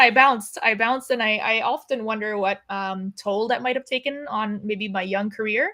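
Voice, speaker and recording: A woman with an American accent speaks at a moderate pace, her fairly high pitch paired with a bright, sharp tone. The recording is very clean with a silent background. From US. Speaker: film and TV director. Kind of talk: interview conversation. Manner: casual, many fillers.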